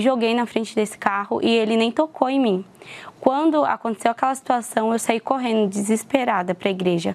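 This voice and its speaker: With a normal speaking voice, a woman talks at a fairly quick pace, her pitch fairly high, her loudness very even and her pitch variation ordinary. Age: 20s. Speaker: churchgoer giving testimony. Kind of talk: testimony.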